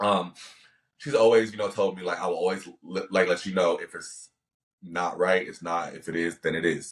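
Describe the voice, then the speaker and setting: With an American accent, a man speaks in a very deep, low voice, his intonation fairly even while his loudness swings widely. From California. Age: 20s. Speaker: actor and model. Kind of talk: casual chat. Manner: fast; hesitant.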